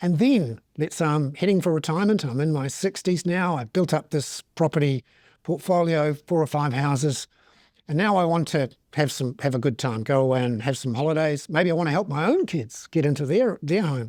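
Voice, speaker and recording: A man with a New Zealand accent speaks at a moderate pace in a fairly high pitch, with ordinary pitch variation. The recording is very clean with a silent background and a dry, close sound with no echo. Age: 50s. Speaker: economic commentator. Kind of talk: interview. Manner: conversational, with filler words.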